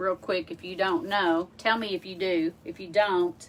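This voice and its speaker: With music in the background, a woman speaks in an American accent. Her pitch is medium and her pace is fairly slow. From US South, Arkansas. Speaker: wreath maker and craft livestreamer. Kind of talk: live craft tutorial. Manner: casual, chatty.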